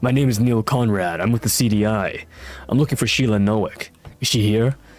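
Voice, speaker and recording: Using a put-on character voice that is gravelly and strained, a man speaks at a medium pitch and a fairly quick pace in a dramatic tone. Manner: dramatic, hardboiled.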